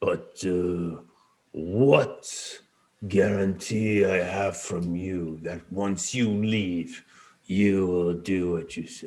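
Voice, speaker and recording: Using a put-on character voice, a man speaks very slowly at a very deep, low pitch, his intonation fairly even. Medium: actual play. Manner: commanding, terse.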